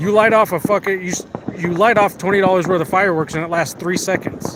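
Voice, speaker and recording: With an American accent, a man talks at a very fast pace in a high pitch, and noticeable background noise is present. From US, Las Vegas. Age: 30s. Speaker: live streamer. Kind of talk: casual chat. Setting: outdoors. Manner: animated.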